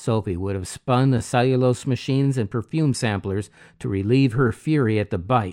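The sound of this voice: An unforced reading voice rises and falls with ordinary variation in pitch.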